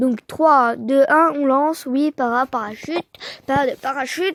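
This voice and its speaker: This woman's voice sits high, with ordinary pitch variation. Her sound is dry and close, without echo. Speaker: gaming youtuber. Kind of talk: casual gameplay commentary.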